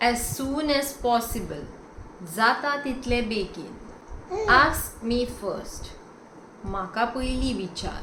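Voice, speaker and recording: The speaker has a Goan accent and moves at a very slow pace, with long, frequent pauses. Pitch varies in an ordinary way, and background noise is noticeable. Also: woman, high pitch for a woman. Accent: Goan Konkani school. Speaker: language teacher. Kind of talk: language lesson.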